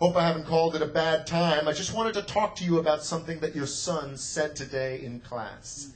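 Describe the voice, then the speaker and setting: Over noticeable background noise, a man talks at a fairly quick pace and a fairly high pitch, with ordinary pitch variation and hardly any pauses. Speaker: slam poet and teacher. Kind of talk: live slam poetry performance. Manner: emphatic, rhythmic.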